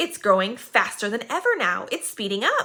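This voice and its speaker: Using a put-on character voice, a woman talks at a moderate pace with a fairly high pitch. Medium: read story. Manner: harsh, domineering.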